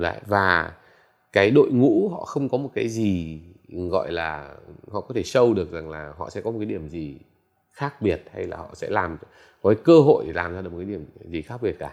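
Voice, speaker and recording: Over a quiet background, a man with a fairly low pitch and lively intonation speaks at a moderate pace, with big swings in loudness and long, frequent pauses. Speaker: entrepreneur and tech investor. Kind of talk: interview. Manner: halting, many fillers.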